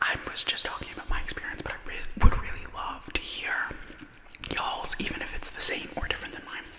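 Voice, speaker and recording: Whispering at a fairly quick pace, a woman is heard over noticeable background noise. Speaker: ASMR content creator. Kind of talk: casual talk to camera, ASMR ramble while eating. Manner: soft, intimate, chatty.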